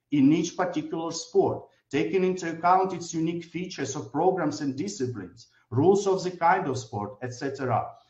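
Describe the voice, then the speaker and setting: A man speaks with lively intonation at a fairly high pitch. There is audible room echo over a quiet background. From Ukraine. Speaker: government minister. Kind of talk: formal prepared speech. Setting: remote video link. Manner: formal. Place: office. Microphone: video call.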